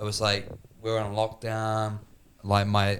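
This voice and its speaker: A man's fairly low voice in a New Zealand accent, at a moderate pace with monotone, flat intonation. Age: 30s. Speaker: podcast host. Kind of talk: casual chat.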